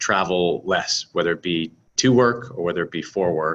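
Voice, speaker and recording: Speaking with an American accent, the voice moves at a fairly slow pace with ordinary pitch variation. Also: man. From United States. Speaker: startup founder and CEO. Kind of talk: product presentation. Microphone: webcam.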